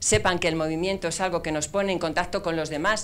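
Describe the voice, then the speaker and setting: With light background noise, a woman speaks in fairly even intonation. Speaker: regional government official. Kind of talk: official speech. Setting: stage with audience. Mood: warm, enthusiastic. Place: hall. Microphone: handheld.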